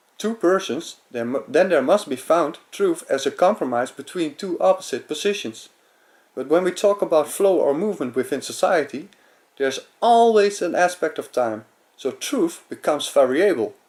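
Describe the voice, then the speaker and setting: Heard on a very clean recording with a silent background, a man speaks in a high pitch with a Dutch accent. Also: lively intonation, moderate pace. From Netherlands. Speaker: amateur philosopher. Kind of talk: lecture. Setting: webcam recording. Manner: halting.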